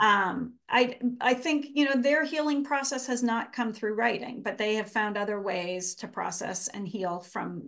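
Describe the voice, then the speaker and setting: Over a quiet background, a woman with a plain, everyday voice speaks at a fairly slow pace with ordinary pitch variation. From Canada. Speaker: author and writing professor. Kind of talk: interview conversation.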